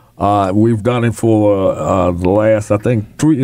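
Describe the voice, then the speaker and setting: A man with a plain, everyday voice talks at a fairly slow pace against a quiet background. His pitch is fairly low, with ordinary variation. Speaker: radio show host or segment sponsor. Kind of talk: radio announcement. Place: studio.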